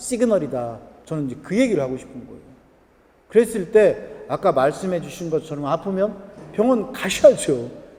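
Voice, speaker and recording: Against noticeable background noise, a man with a Chungcheong accent and a high pitch speaks at a moderate pace, with very wide pitch swings, big swings in loudness, and long, frequent pauses. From Korea, Jochiwon (Chungcheong region). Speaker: lecturer on acupressure points. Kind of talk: lecture. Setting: event hall with live audience. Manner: conversational, asks audience questions.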